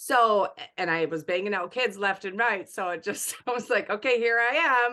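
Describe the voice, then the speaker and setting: Loud and animated, a woman speaks at a moderate pace with hardly any pauses, in a fairly high pitch with lively intonation. Her tone is bright and sharp, and the background is quiet. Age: 40s. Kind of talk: casual chat.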